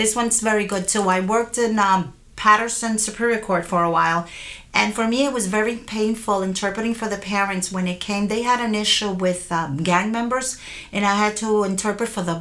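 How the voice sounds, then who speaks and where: At a fairly quick pace, a woman talks in an unremarkable speaking voice with fairly high pitch and fairly even intonation. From Puerto Rico and US mainland. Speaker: court interpreter. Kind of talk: interview.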